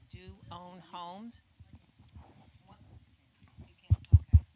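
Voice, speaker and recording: This woman talks at a fairly slow pace with a fairly low pitch, a dark, mellow tone and vocal fry. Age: 50s. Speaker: church financial workshop presenter. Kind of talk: church seminar talk.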